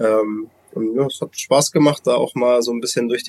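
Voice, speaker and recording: Here a man talks at a moderate pace and medium pitch with fairly even intonation. The sound is dry and close, with no echo. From Hamburg, northern Germany. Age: 30s. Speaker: former pro footballer, now women's team coach. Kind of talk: interview. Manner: hesitant, many fillers.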